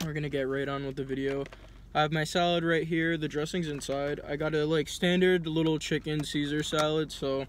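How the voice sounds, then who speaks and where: Light background noise sits behind a man who talks fairly quickly in a monotone, flat intonation, the sound dry with no echo. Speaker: vlogger. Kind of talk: casual vlog chat. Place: car. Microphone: phone near.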